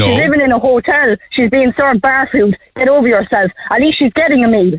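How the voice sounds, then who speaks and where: An Irish accent at a fairly quick pace, with ordinary pitch variation, very even loudness and a dry, close sound with no echo. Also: woman, high pitch for a woman. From Ireland. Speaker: radio phone-in caller. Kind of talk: radio call-in talk.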